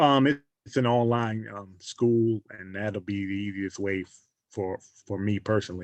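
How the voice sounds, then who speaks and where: A speaker with a New York accent talks at a moderate pace, their loudness swinging widely. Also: man, fairly low pitch for a man. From New York City. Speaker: student. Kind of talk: class introduction. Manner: halting.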